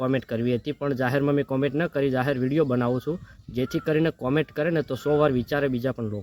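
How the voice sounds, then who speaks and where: The man's voice sits at a medium pitch. The sound is dry and close, with no echo. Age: young. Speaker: social media commentator. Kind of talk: political monologue to camera. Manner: animated.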